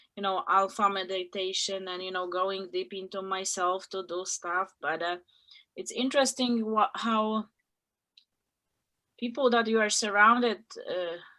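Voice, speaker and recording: On a very clean recording with a silent background, a woman with a non-native accent speaks at a medium pitch in a bright, sharp tone, at a fairly slow pace with long, frequent pauses, big swings in loudness and ordinary pitch variation. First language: not English. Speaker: group member in online personal growth group. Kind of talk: group sharing circle. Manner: halting, many fillers.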